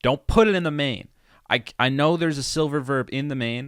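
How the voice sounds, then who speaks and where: In a very clean recording with a silent background and a dry, close sound with no echo, a man with an ordinary speaking voice talks at a moderate pace and medium pitch. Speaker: musician and producer explaining own song. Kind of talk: tutorial. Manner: casual.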